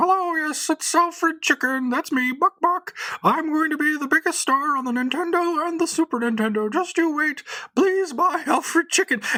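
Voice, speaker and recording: Putting on a character voice, a man goes into falsetto at an extremely high pitch. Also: moderate pace. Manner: promotional, salesy.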